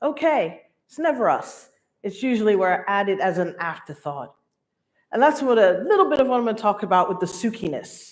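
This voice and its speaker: A woman speaks at a fairly quick pace. Her pitch swings very widely. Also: medium pitch for a woman. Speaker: keynote speaker. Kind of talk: keynote talk. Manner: casual, chatty.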